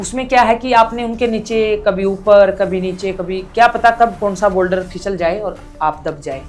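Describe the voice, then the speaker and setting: The woman's pitch rises and falls in a normal way. Behind her, music is playing. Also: medium pitch for a woman. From Haryana, India. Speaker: mountaineer. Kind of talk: podcast interview answer.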